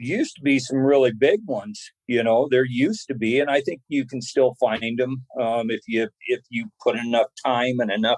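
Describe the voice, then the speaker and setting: Using an ordinary speaking voice, a man talks at a medium pitch and moderate pace with ordinary pitch variation and hardly any pauses. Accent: American. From eastern Oregon, US. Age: 60s. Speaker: bow hunter. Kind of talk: casual interview chat.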